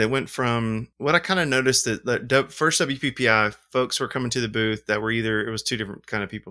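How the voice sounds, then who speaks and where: A man with an Alabama accent, bright and sharp in tone, at a medium pitch with ordinary pitch variation and a fairly quick pace, on a very clean recording with a silent background. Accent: Southern US (Alabama). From US South, Alabama. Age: 40s. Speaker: film lab owner and wedding photographer. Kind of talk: casual chat. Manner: rambling, animated.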